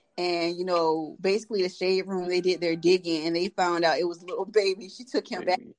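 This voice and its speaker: A woman's medium-pitched voice at a very fast pace, with hardly any pauses and fairly even intonation. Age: 20s. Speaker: podcast host. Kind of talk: casual chat.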